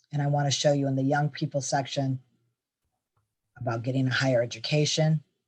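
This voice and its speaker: The speech moves at a fairly quick pace yet is broken by long, frequent pauses. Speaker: benefits resource presenter. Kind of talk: webinar presentation. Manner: fast.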